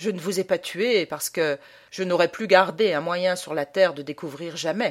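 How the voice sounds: natural voice for reading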